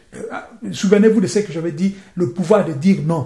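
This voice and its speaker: Ordinary pitch variation at a moderate pace, with audible room echo. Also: man. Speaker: preacher. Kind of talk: sermon.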